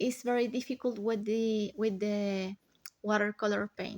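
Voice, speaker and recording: With a Spanish accent, a woman speaks at a fairly high pitch in a very clean recording over a silent background. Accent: non-native English, Spanish. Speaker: watercolor artist, vlogger. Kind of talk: casual tutorial voiceover. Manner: halting, many fillers.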